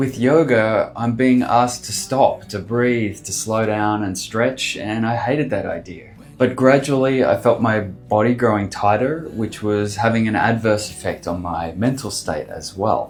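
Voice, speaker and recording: With music in the background, a man with an Australian accent talks fairly slowly with hardly any pauses, in a medium pitch with ordinary pitch variation. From Australia, Sydney. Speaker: artist and designer vlogger. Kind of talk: vlog monologue.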